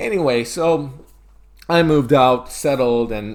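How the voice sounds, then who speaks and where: A man with an American accent. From Turkey. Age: 20s. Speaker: medical student and bodybuilder. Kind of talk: casual interview chat. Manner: halting, many fillers.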